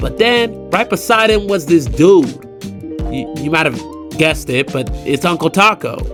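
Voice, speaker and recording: A man speaks at a moderate pace. Music sits in the background. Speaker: voice actor. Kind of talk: personal storytelling narration. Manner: casual, conversational.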